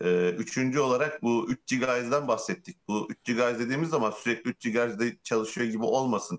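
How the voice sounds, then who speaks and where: A man talks at a moderate pace. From Turkey. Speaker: tech podcast co-host. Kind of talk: casual chat.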